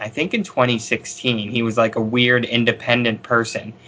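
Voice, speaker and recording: Speaking with an American accent, this man uses a medium pitch. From Pennsylvania. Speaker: fellow podcast host. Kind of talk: casual chat. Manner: casual, laughing.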